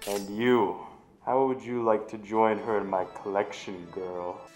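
A man puts on a character voice at a fairly low pitch and a fairly slow pace. Clear music plays in the background. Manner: menacing, taunting.

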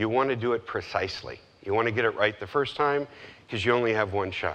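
Very fast speech comes from a man whose pitch varies in an ordinary way. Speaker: presenter. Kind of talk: conference talk. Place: stage. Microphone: lapel.

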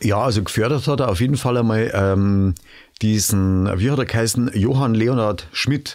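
Medium in pitch, a man's voice moves at a moderate pace with ordinary pitch variation. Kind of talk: podcast conversation.

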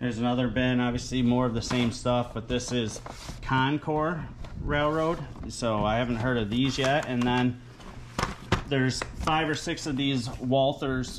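Noticeable background noise sits behind a man who talks at a fairly slow pace with fairly even intonation. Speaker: reseller showing a haul. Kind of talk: casual haul video commentary. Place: home room. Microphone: phone near.

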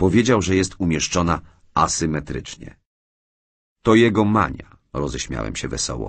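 Very deep and low, a man's voice shows vocal fry and very wide pitch swings at a fairly slow pace. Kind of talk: audiobook reading, literary narration.

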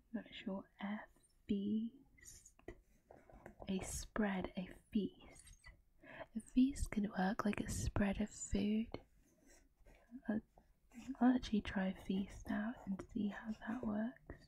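A soft-spoken woman with a dark, mellow tone, somewhat breathy at a very slow pace, with fairly even intonation, long, frequent pauses and light background noise. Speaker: ASMR creator. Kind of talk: ASMR puzzle solving talk.

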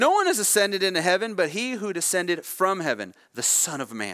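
A man speaks in a raised, projected voice with a bright, sharp tone. His pace is fairly quick, against a quiet background. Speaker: preacher. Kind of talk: sermon. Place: church.

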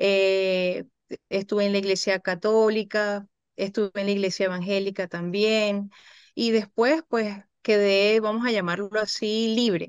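At a fairly slow pace and with fairly even intonation, a woman talks against a quiet background in a dry sound with no echo. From Venezuela. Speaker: psychologist; guest. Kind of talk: interview. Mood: calm, reflective, grateful. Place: home room. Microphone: video call.

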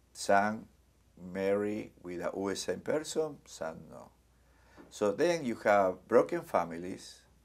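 A very slow pace with big swings in loudness. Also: man. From Argentina. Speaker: community center executive director. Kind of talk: oral history interview answer. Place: studio.

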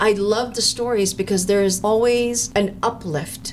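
Over noticeable background noise, a woman with an American accent speaks at a moderate pace in a fairly high pitch with ordinary pitch variation. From US, Filipino American. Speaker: podcast host, procurement consultant. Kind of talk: interview podcast. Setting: studio.

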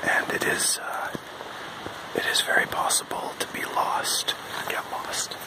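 The speech is whispered at a fairly slow pace. Long pauses break it up frequently. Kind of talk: ASMR outdoor walk narration. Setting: outdoors. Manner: soft-spoken, whispered. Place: forest. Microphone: phone near.

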